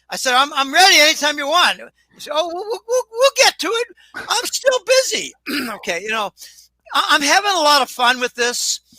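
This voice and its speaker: With a raised, projected voice, a man speaks at an extremely high pitch and a fairly quick pace, with very wide pitch swings and a dry, close sound with no echo. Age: 70s. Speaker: financial commentator. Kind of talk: casual chat. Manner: halting.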